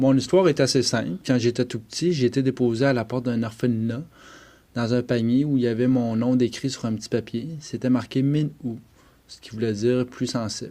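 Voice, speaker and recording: At a moderate pace, a man with a medium pitch and a dark, mellow tone speaks with fairly even intonation and big swings in loudness. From Quebec, Eastern Townships (Bromptonville). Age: 30s. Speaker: adoptee telling his story. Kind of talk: personal testimony. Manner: hesitant, frequent 'euh'.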